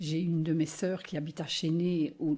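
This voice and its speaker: A woman's very deep, low, somewhat breathy voice with a dark, mellow tone and monotone, flat intonation at a moderate pace, on a very clean recording with a silent background. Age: 60s. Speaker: flood victim interviewee. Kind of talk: testimony.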